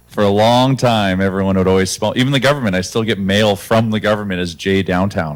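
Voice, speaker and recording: Over music in the background, a man talks fairly quickly at a fairly low pitch, with ordinary pitch variation. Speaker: serial entrepreneur. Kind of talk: panel discussion.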